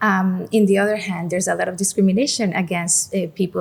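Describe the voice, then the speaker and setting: Speaking at a fairly quick pace, a woman with a Mexican accent keeps a medium pitch and fairly even intonation. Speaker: museum director. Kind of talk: podcast interview. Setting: on location at a museum.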